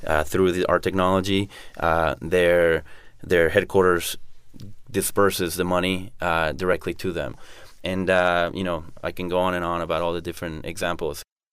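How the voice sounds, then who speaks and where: A man's very deep, low voice in a Spanish accent, monotone and flat, at a moderate pace on a very clean recording with a silent background. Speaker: entrepreneur. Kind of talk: interview.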